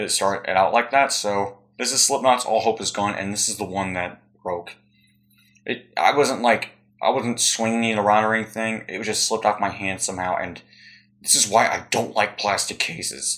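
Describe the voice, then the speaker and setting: Quiet and medium-pitched, a man speaks at a moderate pace with fairly even intonation. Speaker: YouTuber. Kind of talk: casual haul video.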